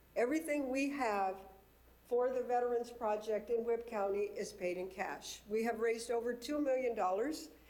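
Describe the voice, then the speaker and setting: A woman with an American accent talks at a moderate pace, and audible room echo comes through. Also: fairly high pitch for a woman, ordinary pitch variation. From southern California. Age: 60s. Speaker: nonprofit founder for veterans. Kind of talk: presentation at a public committee meeting. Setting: city committee meeting room.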